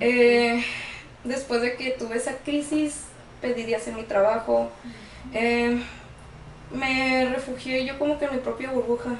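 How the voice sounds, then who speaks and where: A woman speaks at a high pitch in a flat monotone, at a fairly slow pace with long, frequent pauses. Audible room echo and noticeable background noise fill the recording. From Tijuana, Mexico. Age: 20s. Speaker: guest sharing personal experience with borderline. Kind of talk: testimony. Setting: studio.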